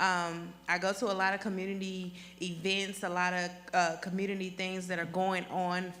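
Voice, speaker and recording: A woman's medium-pitched voice with a Southern US accent, a bright, sharp tone and audible room echo. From Athens, Georgia (US South). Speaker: school board candidate. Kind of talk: candidate presentation at public meeting. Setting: public board meeting.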